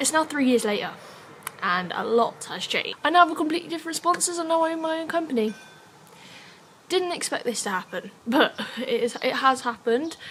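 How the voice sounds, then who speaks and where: With an English accent, a woman speaks at a fairly quick pace in a high voice with very wide pitch swings, over noticeable background noise. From England. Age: young. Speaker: scooter rider and vlogger. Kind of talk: casual vlog talk. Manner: casual, filler-heavy.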